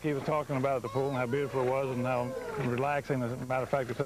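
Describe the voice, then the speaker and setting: A man's medium-pitched, monotone, flat delivery at a very fast pace, with noticeable background noise. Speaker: pool company co-owner. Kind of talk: interview answer.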